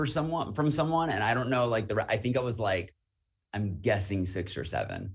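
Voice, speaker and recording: Somewhat breathy, a man speaks at medium pitch. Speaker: student activities presenter. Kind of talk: casual interview. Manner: fast.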